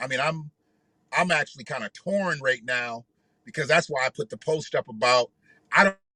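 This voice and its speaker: A man's fairly high, bright, sharp voice at a moderate pace, with ordinary pitch variation and long, frequent pauses. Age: 50s. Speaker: grandfather. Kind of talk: casual live talk to camera. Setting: outdoors.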